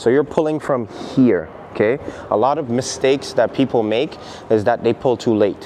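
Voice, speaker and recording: Over noticeable background noise, a man at medium pitch talks at a moderate pace with ordinary pitch variation. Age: 30s. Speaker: calisthenics coach. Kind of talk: tutorial.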